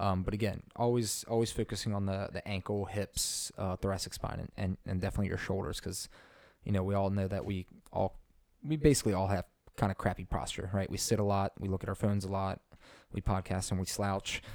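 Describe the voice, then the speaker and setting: In a very clean recording with a silent background, a man talks at a fairly quick pace in a fairly low pitch with fairly even intonation. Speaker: fitness podcast co-host. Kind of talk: casual chat. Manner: loud; hesitant, many fillers.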